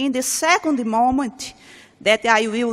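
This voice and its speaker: A woman speaks with a high pitch. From Brazil. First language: Portuguese. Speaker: researcher and professor. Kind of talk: conference talk. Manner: halting.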